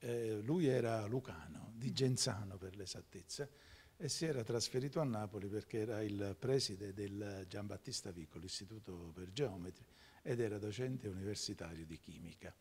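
A man speaks in a fairly low pitch at a moderate pace. His voice is somewhat breathy, with ordinary pitch variation. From Campania, Giugliano near Naples; Campania, Italy. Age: 60s. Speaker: lawyer. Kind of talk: TV interview. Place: studio. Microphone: handheld.

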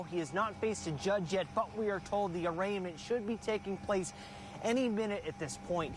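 With noticeable background noise, a man speaks at a moderate pace in a high pitch with ordinary variation, the sound dry and echo-free. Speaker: TV news reporter. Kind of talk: live field news report. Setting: outdoors. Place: street.

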